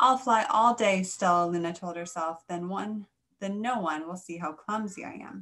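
This is a natural reading voice with ordinary pitch variation. Behind it, the background is quiet.

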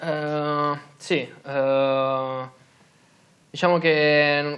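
The voice is a man's. His intonation stays monotone and flat. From Molise, southern Italy (Venafro); Molise. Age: 20s. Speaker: professional footballer; guest. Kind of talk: studio interview. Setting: TV studio. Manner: halting, many fillers. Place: studio. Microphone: lapel.

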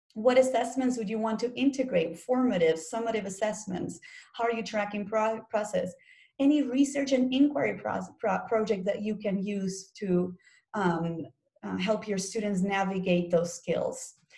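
Somewhat breathy and dark, a woman's mellow voice moves at a fairly slow pace with ordinary pitch variation. The background is quiet. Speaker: teacher workshop presenter. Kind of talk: professional development presentation. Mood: friendly and didactic. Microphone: webcam.

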